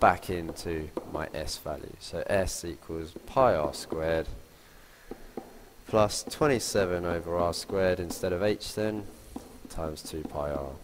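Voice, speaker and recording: A man with a very deep, low pitch and ordinary pitch variation talks at a fairly slow pace. Noticeable background noise runs beneath him. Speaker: maths teacher. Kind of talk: tutorial.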